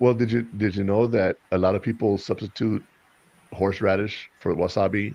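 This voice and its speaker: Against a quiet background, a man with a fairly low pitch and a dark, mellow tone speaks at a moderate pace with fairly even intonation. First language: Spanish. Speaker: podcast host. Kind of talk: casual chat.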